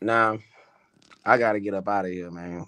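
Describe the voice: Fairly low in pitch, a man speaks with a bright, sharp, yet clear, smooth tone and fairly even intonation. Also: moderate pace.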